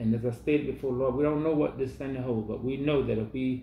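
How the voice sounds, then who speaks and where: A man speaks at a fairly quick pace with a somewhat breathy voice and fairly even intonation, over light background noise and audible room echo. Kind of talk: prayer. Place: home room. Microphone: camera far.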